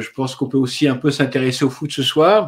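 A man talks at a moderate pace and medium pitch with fairly even intonation. He has an unremarkable speaking voice. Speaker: live video host. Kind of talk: live-streamed interview. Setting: online video livestream. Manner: chatty, a bit flustered by tech problems.

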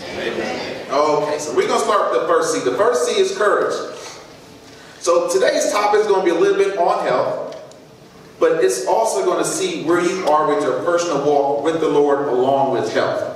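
Over light background noise and strong room echo, a man talks at a moderate pace. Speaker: presenter. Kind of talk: sermon-style talk. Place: church. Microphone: camera far.

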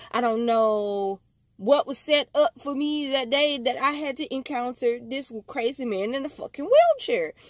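An animated tone with ordinary pitch variation comes through in a dry sound with no echo against a quiet background. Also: woman, high pitch for a woman, fairly slow pace. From US. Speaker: vlogger telling a story. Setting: self-recorded video. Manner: excitable, incredulous, emphatic repetition. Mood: amused, incredulous. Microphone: phone near.

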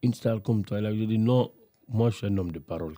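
A man talks at a moderate pace in a fairly low pitch. The sound is dry, with no echo, over a quiet background. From Guinea, Conakry. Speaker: rapper; guest. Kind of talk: casual chat. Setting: studio. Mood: reflective, personal storytelling. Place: studio. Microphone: studio mic.

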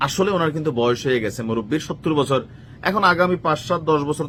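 A man talks in a normal speaking voice, fairly high in pitch, with ordinary pitch variation. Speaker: political commentary vlogger. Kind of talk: political commentary monologue. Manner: casual conversational.

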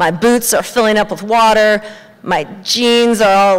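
A woman with a Western US accent talks at a fairly slow pace. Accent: American, Western US. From Montana. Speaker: storyteller. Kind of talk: live storytelling performance. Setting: live audience on stage. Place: stage. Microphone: handheld.

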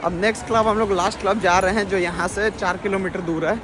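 Crowd noise fills the background as a high-pitched man speaks at a moderate pace, the sound dry with no echo. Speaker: travel vlogger. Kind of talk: casual vlog chat. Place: street. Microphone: phone near.

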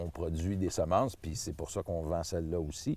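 In a Quebec accent, a man speaks at a very deep, low pitch with a dark, mellow tone. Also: dry sound with no echo. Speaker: seed grower and gardener. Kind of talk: tutorial. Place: garden.

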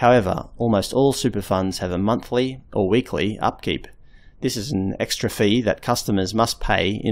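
At a fairly low pitch, a man with an Australian accent speaks at a moderate pace and fairly even intonation in a very clean recording with a silent background. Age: 30s. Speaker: video blogger. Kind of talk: scripted narration.

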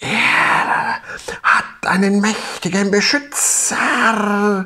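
A put-on character voice, pitched fairly high, delivers the words at a very slow pace. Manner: hissing.

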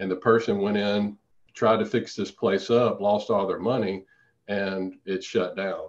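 A man speaks with a fairly low pitch. His intonation stays fairly even. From Louisiana, small town. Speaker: periodontist and real estate investor. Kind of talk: interview.

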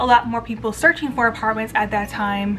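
A woman at a fairly quick pace with fairly even intonation, over light background noise. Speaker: lifestyle vlogger. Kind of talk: casual vlog chat. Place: home room. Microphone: phone near.

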